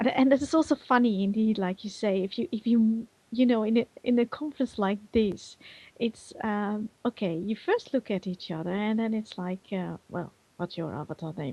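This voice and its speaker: A woman with a Dutch accent speaks at a moderate pace in a fairly high pitch, her tone dark, mellow and somewhat breathy. Her pitch varies in an ordinary way over a quiet background. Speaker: virtual world community manager and conference organizer. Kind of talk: talk show interview. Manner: animated; halting.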